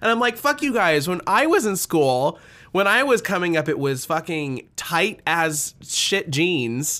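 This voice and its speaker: A man with an American accent and a high voice, bright, sharp and animated in tone, with very wide pitch swings, a fairly slow pace and very even loudness, on a very clean recording with a silent background. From Nebraska. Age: 20s. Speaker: podcast host and musician. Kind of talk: casual interview chat. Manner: animated, frequent laughter.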